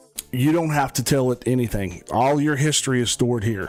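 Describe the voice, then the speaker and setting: A man speaks at a medium pitch with ordinary pitch variation while music plays in the background. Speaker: software developer livestreamer. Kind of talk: live coding stream. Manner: fast.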